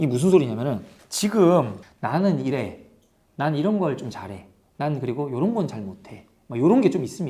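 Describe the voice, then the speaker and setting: A man's fairly high, dark and mellow voice with vocal fry at a moderate pace, very wide pitch swings, big swings in loudness and audible room echo. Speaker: marketing educator and book reviewer. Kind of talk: book review talk. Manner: halting, with fillers and restarts; conversational, casual.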